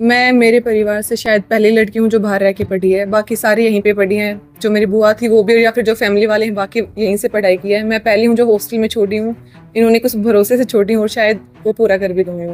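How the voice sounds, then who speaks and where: Monotone, flat intonation runs through a woman's fairly high-pitched speech. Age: 20s. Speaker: university topper student. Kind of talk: interview.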